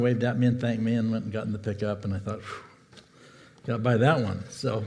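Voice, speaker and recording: Audible room echo surrounds a man speaking at medium pitch. His voice is somewhat breathy, with fairly even intonation. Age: 70s. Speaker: pastor. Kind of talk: sermon. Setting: church.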